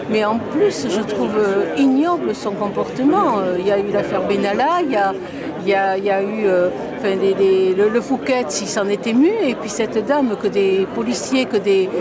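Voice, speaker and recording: A woman of medium pitch at a moderate pace, with ordinary pitch variation, crowd noise in the background, and audible room echo. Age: 70s. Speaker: protester interviewed at a rally. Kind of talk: street interview. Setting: outdoors. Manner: halting.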